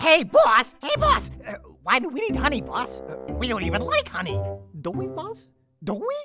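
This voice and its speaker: Faint music plays in the background behind a cartoonish character voice delivered at a moderate pace. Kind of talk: comic sidekick acting. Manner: eager, whiny, repetitive.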